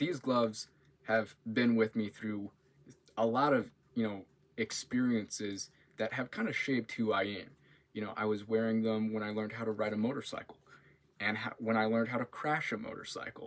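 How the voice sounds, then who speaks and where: A man uses an ordinary speaking voice at medium pitch. His intonation is fairly even and his pace moderate. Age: 20s. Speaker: university student. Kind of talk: class introduction video. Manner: casual, with filler words.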